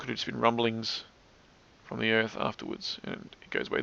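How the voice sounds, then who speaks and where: Mumbling, a man speaks at a fairly quick pace. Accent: Australian. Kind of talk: commentary narration over screen recording. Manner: fast, slightly mumbled.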